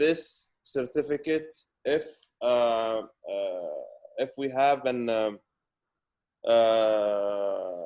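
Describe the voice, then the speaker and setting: A man talks very slowly, with long, frequent pauses. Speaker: food safety expert presenter. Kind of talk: webinar presentation. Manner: halting, many fillers and repetitions.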